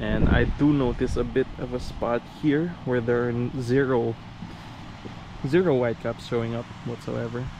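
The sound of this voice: A man speaks at a medium pitch with fairly even intonation over clear background noise. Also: moderate pace.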